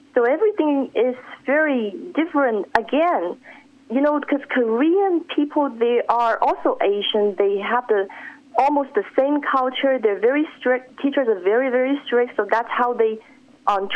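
A woman at high pitch, fairly slow, with very even loudness over noticeable background noise. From Shanghai, China. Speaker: author. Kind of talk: radio interview. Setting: phone call, live radio.

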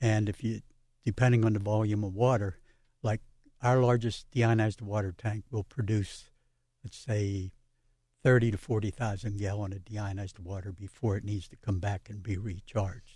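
Moderate pace, fairly even intonation and big swings in loudness, with a somewhat breathy, dark, mellow tone against a quiet background. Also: man, fairly low pitch for a man. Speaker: water treatment business owner. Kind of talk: radio interview.

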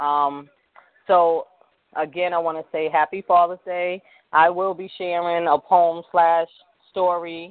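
A fairly slow pace with long, frequent pauses. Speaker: radio talk show host. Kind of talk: live radio talk show chat. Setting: online live broadcast from a tablet. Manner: nervous, chatty.

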